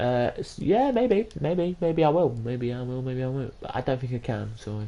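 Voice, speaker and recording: The speaker talks with an English accent. The pace is moderate. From England. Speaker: gaming streamer. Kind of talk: live gameplay commentary. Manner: halting.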